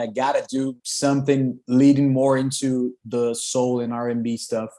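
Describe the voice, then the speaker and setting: A man with a Brazilian Portuguese accent speaks fairly slowly at a medium pitch, his dark, mellow tone held in a monotone, flat intonation. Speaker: rock singer. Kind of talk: interview. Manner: loud.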